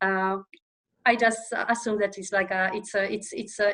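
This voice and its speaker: A bright, sharp, medium-pitched woman's voice in a Polish accent, with fairly even intonation at a moderate pace. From Poland. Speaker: operations manager. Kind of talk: interview podcast. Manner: halting with many fillers.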